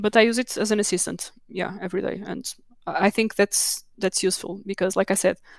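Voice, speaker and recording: A woman at medium pitch with a Portuguese accent, dry and close with no echo, on a very clean recording with a silent background. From Portugal. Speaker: technical documentation manager. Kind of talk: conference Q&A. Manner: halting, many repetitions.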